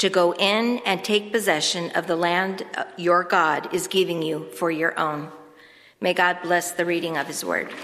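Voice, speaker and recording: A woman's unremarkable speaking voice, fairly low in pitch, with fairly even intonation at a fairly slow pace. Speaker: church reader. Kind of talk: scripture reading.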